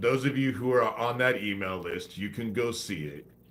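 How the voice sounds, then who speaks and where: A man speaks at a medium pitch with a bright, sharp tone and vocal fry. His pitch swings very widely. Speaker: conspiracy livestreamer. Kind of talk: livestream monologue. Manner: slow cadence.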